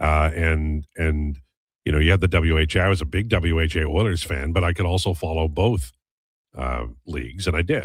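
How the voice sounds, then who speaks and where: There is a very clean recording with a silent background of a man with a very deep, low pitch. He is somewhat breathy, keeps a moderate pace, and shows ordinary pitch variation. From Saskatchewan, Canada. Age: 60s. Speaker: sports radio host. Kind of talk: casual chat.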